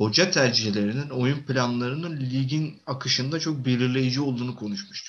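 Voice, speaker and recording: A somewhat breathy man of medium pitch speaks at a moderate pace. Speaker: football podcast co-host. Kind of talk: casual chat.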